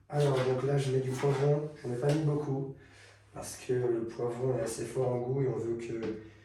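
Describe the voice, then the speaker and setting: Monotone, flat intonation marks this man's medium-pitched voice. Audible room echo and noticeable background noise come through. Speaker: fitness youtuber. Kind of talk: cooking tutorial. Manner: halting, many filler sounds.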